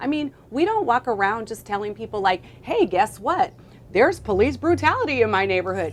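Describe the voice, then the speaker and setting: Noticeable background noise behind a woman with an American accent, her fairly high voice swinging very widely in pitch. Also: fairly quick pace. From US Midwest, Minneapolis, Minnesota. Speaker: fitness trainer. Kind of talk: interview.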